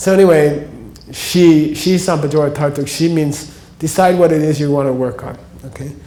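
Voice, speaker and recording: Audible room echo surrounds a fairly high-pitched man with an American accent, who speaks at a moderate pace with fairly even intonation. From United States. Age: 60s. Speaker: spiritual teacher. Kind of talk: lecture. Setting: stage with audience. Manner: casual.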